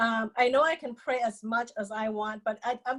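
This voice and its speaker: A woman speaks with a Lao accent. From Laos. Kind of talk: interview testimony.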